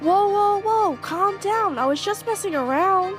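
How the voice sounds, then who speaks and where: A put-on character voice at a moderate pace, with clear music playing in the background. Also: woman, extremely high pitch for a woman. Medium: audio drama. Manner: snarky, casual.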